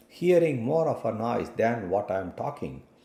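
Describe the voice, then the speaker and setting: A man's dark, mellow voice with vocal fry moves at a fairly slow pace with very wide pitch swings. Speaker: networking instructor. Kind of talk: tutorial. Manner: loud.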